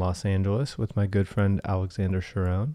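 This is a man with a plain, everyday voice. He speaks at a moderate pace in a fairly low pitch. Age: 30s. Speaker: podcast host. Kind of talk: casual chat.

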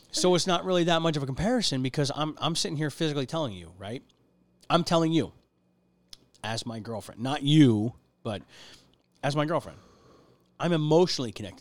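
Talking at a fairly quick pace, a man with a fairly high voice uses lively intonation, swings widely in loudness and takes long, frequent pauses. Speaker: podcast host. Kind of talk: casual chat. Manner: animated.

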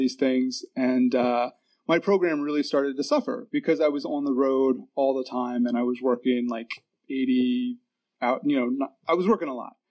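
With an American accent, a man uses an ordinary speaking voice at a fairly high pitch, moderate pace and ordinary pitch variation. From Virginia. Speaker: AA speaker. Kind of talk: testimony.

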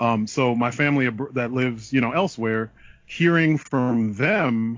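A man with an American accent and a normal speaking voice at medium pitch, moderate pace and ordinary pitch variation. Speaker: podcaster. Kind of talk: casual chat.

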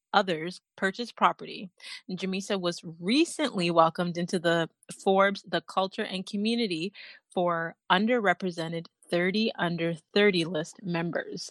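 Against a quiet background, a woman with an unremarkable speaking voice talks at a moderate pace. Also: medium pitch for a woman, ordinary pitch variation, dry, close sound with no echo. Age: 30s. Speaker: podcast host and mindset coach. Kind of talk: interview; scripted intro.

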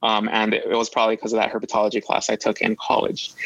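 A man with a medium-pitched voice and an American accent, at a fairly quick pace. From US, Los Angeles. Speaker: postdoctoral biologist. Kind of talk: interview. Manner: hesitant, with fillers and repeats.

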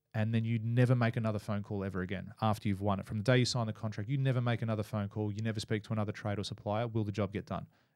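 Very fast speech in an Australian accent with fairly even intonation. The recording is very clean, with a silent background. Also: man. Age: 30s. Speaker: builder and business coach. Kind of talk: casual interview.

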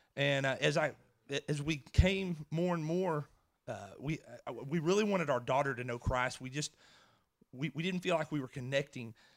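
A man's fairly high voice with an American accent, a moderate pace, ordinary pitch variation, and long, frequent pauses. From Edgewood area, US. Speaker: former law enforcement officer. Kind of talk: testimony. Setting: church stage with audience.

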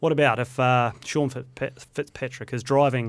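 With a New Zealand accent, a man talks in a monotone, flat intonation on a very clean recording with a silent background. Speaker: podcast host. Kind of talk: interview; scripted intro. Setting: studio.

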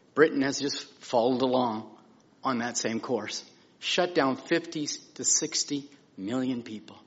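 A man's normal speaking voice at a medium pitch, with ordinary pitch variation and a fairly slow pace. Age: 60s. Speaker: minister. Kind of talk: testimony. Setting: church pulpit.

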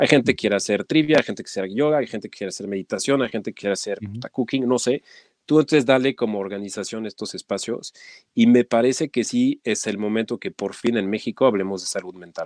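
A man's medium-pitched voice with a French accent at a very fast pace, big swings in loudness and ordinary pitch variation, on a very clean recording with a silent background. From France. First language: French (speaking Spanish). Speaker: nonprofit executive. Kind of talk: interview.

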